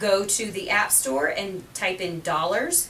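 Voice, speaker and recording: A woman speaks with ordinary pitch variation, with audible room echo and noticeable background noise. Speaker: financial radio show host. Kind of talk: radio talk show.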